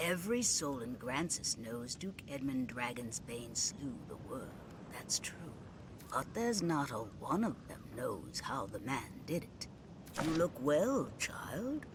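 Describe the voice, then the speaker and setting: Over loud background noise, a put-on character voice speaks at a fairly slow pace with a low-to-middle pitch. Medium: video game. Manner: storytelling, warm.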